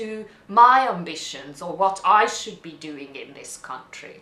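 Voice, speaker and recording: A woman with a non-native accent speaks at a fairly slow pace and fairly high pitch, with lively intonation. Room echo is audible, along with noticeable background noise. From Hungary. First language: Hungarian. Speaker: immigrant interviewee. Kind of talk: interview testimony. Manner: halting.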